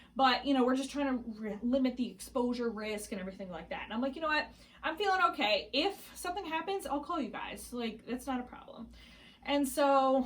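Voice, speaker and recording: High female speech with lively intonation. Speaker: pregnancy vlogger. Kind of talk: casual vlog. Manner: fast.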